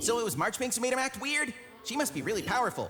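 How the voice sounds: Over clear background noise, a man in a cartoonish character voice speaks at a very fast pace with an extremely high pitch.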